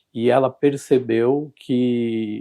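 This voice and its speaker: Man at a medium pitch with fairly even intonation. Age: 60s. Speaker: kidney transplant patient. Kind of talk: interview testimony. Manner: halting, many fillers.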